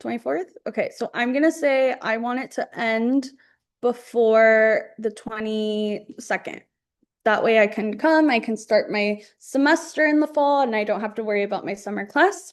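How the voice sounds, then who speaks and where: A woman with a normal speaking voice talks at a moderate pace at a fairly high pitch, with ordinary pitch variation and a quiet background. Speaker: college advisor running a workshop. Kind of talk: tutorial.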